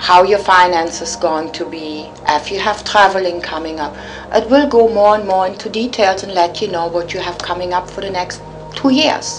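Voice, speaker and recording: Speaking at a moderate pace in a German accent, a woman with a medium pitch shows ordinary pitch variation and big swings in loudness, with audible room echo and noticeable background noise. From Germany, Cologne. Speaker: psychic. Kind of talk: interview.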